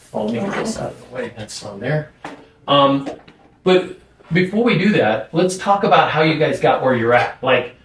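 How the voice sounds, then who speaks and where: A man speaks at a moderate pace in a fairly high pitch, his pitch swinging very widely and his loudness rising and falling a lot, with noticeable background noise behind him. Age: 60s. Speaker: podcast host. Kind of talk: interview.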